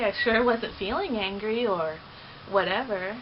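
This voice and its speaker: Noticeable background noise accompanies a woman whose fairly high pitch, with ordinary pitch variation, moves at a moderate pace. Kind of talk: personal vlog monologue. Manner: loud at times.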